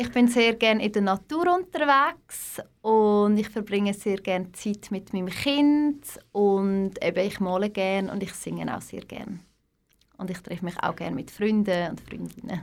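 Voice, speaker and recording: In a very clean recording with a silent background, a woman with an ordinary speaking voice and medium pitch speaks at a moderate pace. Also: lively intonation. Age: 30s. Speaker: yoga teacher. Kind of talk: interview.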